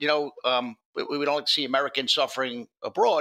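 A man with a strong New York accent speaks at a fairly quick pace in a bright, sharp tone. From New York City (Bronx). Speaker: former ATF agent and whistleblower. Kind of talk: casual interview.

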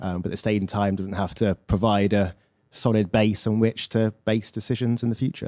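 A man with an English accent speaks at a fairly quick pace in a fairly low voice with a dark, mellow tone. His intonation is monotone and flat, and the recording is very clean with a silent background. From England. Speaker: audience member asking a question. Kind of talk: audience question. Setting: stage with live audience.

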